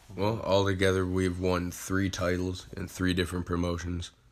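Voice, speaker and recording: Speaking at a moderate pace, a man with a very deep, low pitch keeps a monotone, flat intonation. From Ohio, Sandusky. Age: 20s. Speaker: professional wrestler. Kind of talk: casual interview.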